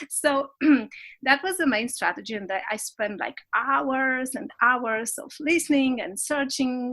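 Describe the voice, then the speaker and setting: Speaking at a fairly slow pace with a non-native accent, a woman uses a high-pitched, bright, sharp tone and lively intonation. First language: not English. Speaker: business coach. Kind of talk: interview. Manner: halting, many restarts.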